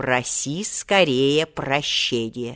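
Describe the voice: In a put-on character voice, a woman sounds raspy and hissing at a very deep, low pitch.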